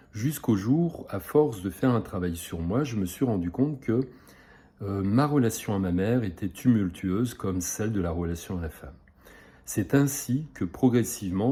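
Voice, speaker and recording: A man speaks at a moderate pace with a fairly low pitch and lively intonation. His tone is dark, mellow and somewhat breathy. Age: 60s. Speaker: psychosomatic therapist. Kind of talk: self-presentation video. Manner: hesitant, many filler sounds.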